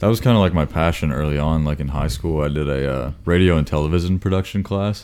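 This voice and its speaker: With an American accent, a man with a very deep, low pitch talks at a very fast pace with hardly any pauses over noticeable background noise. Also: ordinary pitch variation. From Florida. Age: 20s. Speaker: guest. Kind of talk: casual chat.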